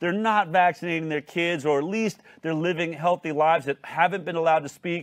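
A man talks at a fairly quick pace in a high pitch with an animated tone. The background is quiet. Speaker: talk show host. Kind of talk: hosted news talk show. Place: studio. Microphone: lapel.

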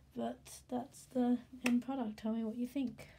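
A woman with a fairly high pitch and a dark, mellow tone speaks at a very slow pace. Her intonation stays fairly even. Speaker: hobby artist. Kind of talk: casual voice-over for drawing video.

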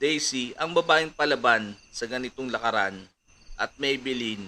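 Here someone is doing plain reading aloud.

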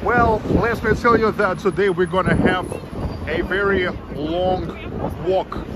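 Loud background noise runs under a man speaking at a fairly slow pace. The sound is dry, with no echo. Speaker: travel live streamer. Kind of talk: casual vlog chat. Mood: relaxed, cheerful. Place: street. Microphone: phone near.

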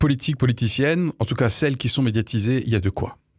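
In a dry sound with no echo and a quiet background, a man at a medium pitch speaks with ordinary pitch variation. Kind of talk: opinion commentary. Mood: wry, critical, earnest. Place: studio. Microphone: studio mic.

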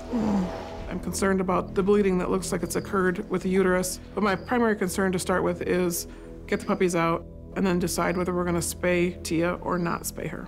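A woman talks at a fairly quick pace in a monotone, flat intonation. Clear music plays in the background. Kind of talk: interview answer. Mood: concerned, explaining. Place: studio.

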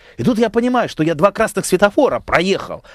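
This man's voice sits high in pitch and moves in very wide pitch swings at a fairly quick pace. The sound is dry with no echo, over a quiet background. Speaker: member of parliament; guest. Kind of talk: radio talk show interview. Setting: radio studio. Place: studio. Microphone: headset.

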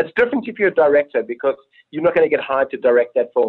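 At a very fast pace, a man speaks with a South African accent. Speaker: film director. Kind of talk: interview. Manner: animated. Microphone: poor long-distance audio.

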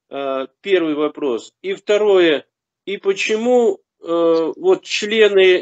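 A man speaks against a quiet background. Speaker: new believer; religious teacher answering questions. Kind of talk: question to a religious teacher. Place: home room. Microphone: video call.

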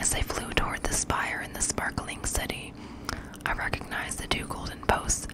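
A soft-spoken woman whispering at a fairly slow pace, dry sound with no echo, over loud background noise. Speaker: audiobook narrator. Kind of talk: fiction read-aloud narration. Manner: soft close-mic whispered reading. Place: home room. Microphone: studio mic.

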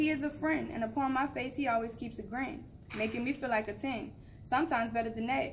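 A woman talks at a very fast pace with vocal fry and ordinary pitch variation. Her tone is playful and confident, with light background noise. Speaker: open mic poet. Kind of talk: spoken word poetry performance, rhythmic rhyming verse about love and hustle. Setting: open mic event. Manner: rhythmic, rhyming cadence with playful, confident, animated delivery. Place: hall. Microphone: camera far.

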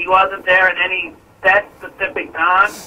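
A man's voice over light background noise. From New Orleans. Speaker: hunter, caller; caller. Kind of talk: call-in conversation. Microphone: phone line.

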